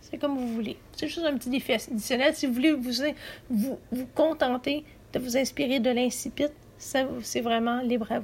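Her pitch is high for a woman, and the intonation stays fairly even. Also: moderate pace. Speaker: podcast host, writing workshop leader. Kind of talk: writing workshop tutorial. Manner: halting, frequent hesitations and repeats; somewhat read-aloud delivery.

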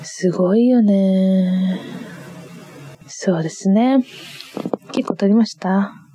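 A woman talks at a very slow pace, with long, frequent pauses and fairly even intonation. Noticeable background noise runs under her speech. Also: medium pitch for a woman. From Niigata, Japan. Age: 20s. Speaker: podcast co-host. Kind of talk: solo casual chat. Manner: giggly, frequent laughter.

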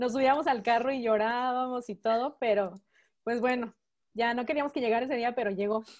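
The recording is very clean with a silent background, carrying a woman's high-pitched voice. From Mexico. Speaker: church member. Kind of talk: testimony.

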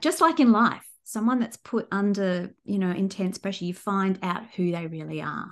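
Moderate pace and lively intonation from a woman with an Australian accent, medium in pitch, against a quiet background. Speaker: crime fiction author. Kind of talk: interview. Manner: hesitant, with fillers.

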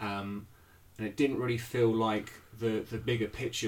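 A man's fairly low, somewhat breathy voice with fairly even intonation. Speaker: podcast host. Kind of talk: casual chat.

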